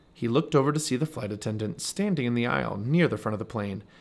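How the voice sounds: Lively intonation in a natural reading voice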